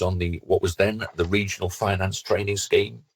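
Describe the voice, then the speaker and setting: Fairly low in pitch, a man speaks at a moderate pace. His voice is somewhat breathy. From northern England. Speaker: finance director. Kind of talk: podcast interview. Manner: halting, with repeated words.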